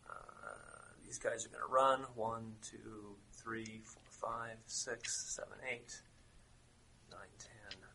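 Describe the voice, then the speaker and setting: A man speaks at a very slow pace with long, frequent pauses and big swings in loudness, over noticeable background noise. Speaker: game master running a tabletop RPG. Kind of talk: tabletop roleplaying game session narration. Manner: halting, with frequent fillers.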